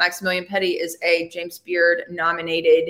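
A woman with a Southern US accent talks at a moderate pace in a fairly low voice. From Alabama. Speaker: podcast host. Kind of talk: casual interview.

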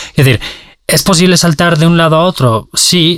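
Somewhat breathy, a man speaks at a moderate pace. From Valencia, Spain. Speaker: journalist. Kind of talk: interview. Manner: halting, many repetitions and fillers.

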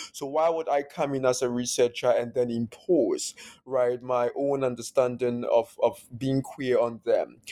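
A man with an Akan accent speaks at a fairly slow pace with fairly even intonation. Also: medium pitch for a man. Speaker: academic author. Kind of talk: interview.

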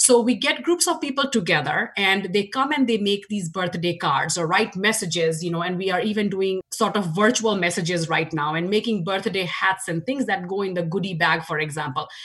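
A woman with an Indian accent talks with hardly any pauses amid noticeable background noise. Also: medium pitch for a woman, lively intonation, fairly quick pace. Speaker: nonprofit board chair. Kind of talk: interview.

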